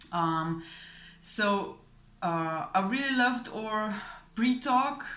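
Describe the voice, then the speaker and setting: Speaking very slowly with a non-native accent, a woman uses a fairly high, bright and sharp voice with lively intonation, and the room echo is audible. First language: not English. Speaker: client giving a testimonial, fellow hypnosis practitioner. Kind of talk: testimonial. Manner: hesitant, many fillers and repetitions.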